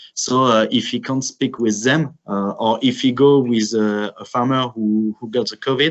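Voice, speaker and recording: The speaker talks at a moderate pace with fairly even intonation and a French accent. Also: man, medium pitch for a man, hardly any pauses. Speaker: grain cooperative representative. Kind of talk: webinar presentation. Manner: halting, many filler sounds.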